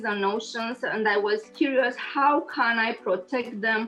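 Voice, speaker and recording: In a Romanian accent, a woman speaks at a fairly slow pace with fairly even intonation against noticeable background noise. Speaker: engineer and lecturer. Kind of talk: interview. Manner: halting, many fillers.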